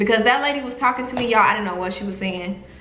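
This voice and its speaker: A woman with a Southern US accent and lively intonation, amid audible room echo and noticeable background noise. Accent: American country. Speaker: travel vlogger. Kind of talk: casual vlog storytelling.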